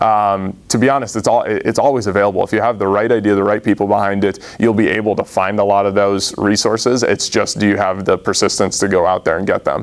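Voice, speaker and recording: Very fast, monotone delivery with flat intonation. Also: man, fairly low pitch for a man. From Massachusetts. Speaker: startup founder; presenter. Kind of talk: audience Q&A answers; business pitch. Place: meeting room. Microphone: lapel.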